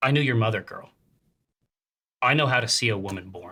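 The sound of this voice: In a put-on character voice, a man sounds stern and raspy, speaking at a fairly quick pace with medium pitch.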